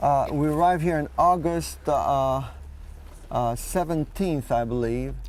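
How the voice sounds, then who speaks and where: The pace is fairly slow as a man speaks. Room echo is audible. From Poland. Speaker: Holocaust survivor. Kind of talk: testimony. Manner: halting.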